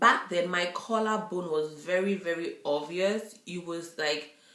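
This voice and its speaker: A woman speaks at a very slow pace with ordinary pitch variation. Room echo is audible. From Nigeria. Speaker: YouTuber. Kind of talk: casual vlog chat. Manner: halting, with many fillers.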